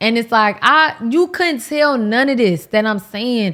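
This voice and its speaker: With an American accent, a woman talks at a fairly quick pace in an animated tone, her fairly high pitch showing ordinary variation. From Miami, Florida (Haitian American). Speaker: lifestyle YouTuber. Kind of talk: casual chat. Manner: loud.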